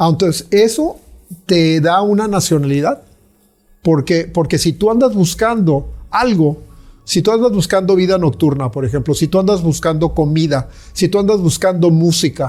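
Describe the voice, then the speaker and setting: Dark and mellow in tone, a man's high-pitched voice moves at a moderate pace with lively intonation. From Mexico. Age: 60s. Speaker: visual artist. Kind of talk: interview conversation. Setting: artist's studio. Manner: halting with many fillers.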